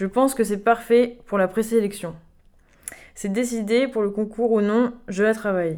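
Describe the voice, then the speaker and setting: On a very clean recording with a silent background, a woman speaks at a fairly slow pace with fairly even intonation, a fairly high pitch and a dark, mellow tone. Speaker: pianist. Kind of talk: interview.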